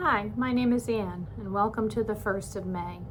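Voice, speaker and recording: In a room with audible echo, a woman with a medium-pitched voice and an American accent speaks at a fairly slow pace with ordinary pitch variation. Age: 60s. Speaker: retiring teacher, vlogger. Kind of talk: personal vlog monologue. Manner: hesitant, many filler words.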